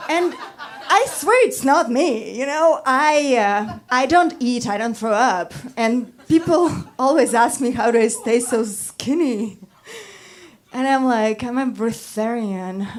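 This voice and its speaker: Someone with a Russian accent speaks at a very slow pace, with audible room echo and noticeable background noise. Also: woman, high pitch for a woman, lively intonation. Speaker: stand-up comedian. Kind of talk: stand-up. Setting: stage with audience.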